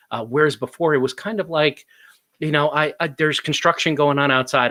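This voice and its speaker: Lively intonation and a bright, sharp tone mark this fairly quick delivery in a New Jersey accent. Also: man. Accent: New Jersey American. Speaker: talk show co-host. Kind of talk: live talk show discussion. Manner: animated.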